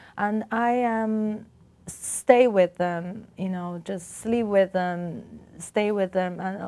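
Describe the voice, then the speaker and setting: With a Chinese accent and a dark, mellow tone, a woman speaks at a very slow pace, with ordinary pitch variation and long, frequent pauses. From China, Beijing. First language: Mandarin Chinese. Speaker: artist. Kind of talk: interview. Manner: halting. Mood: calm, reflective. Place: studio. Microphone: lapel.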